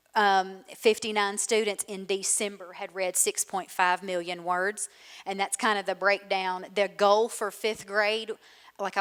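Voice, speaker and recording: Her pitch is medium for a woman. Her delivery stays monotone and flat. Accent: Southern US. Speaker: school literacy coordinator. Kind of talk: conference presentation.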